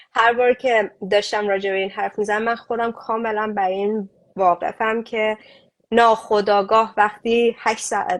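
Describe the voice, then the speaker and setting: In a Mashhadi accent, a woman speaks at a moderate pace with fairly high pitch and monotone, flat intonation against a quiet background. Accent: Mashhadi Persian. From Iran, Mashhad. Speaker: refugee aid activist. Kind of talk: interview conversation. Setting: online live stream.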